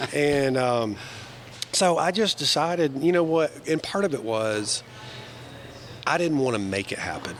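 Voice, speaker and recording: A man with a Southern US accent speaks fairly slowly at a fairly high pitch, his intonation lively and his speech marked by long, frequent pauses, with noticeable background noise behind him. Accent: Southern US (Georgia). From US South, northwest Georgia. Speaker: banker. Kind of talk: interview conversation. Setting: live recording over breakfast. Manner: enthusiastic.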